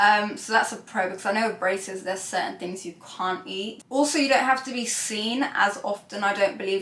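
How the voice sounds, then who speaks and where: Here a woman with a British accent talks at a medium pitch and a moderate pace, with ordinary pitch variation. Audible room echo and noticeable background noise come through. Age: 20s. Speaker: beauty vlogger. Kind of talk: casual vlog talk to camera. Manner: chatty, many fillers.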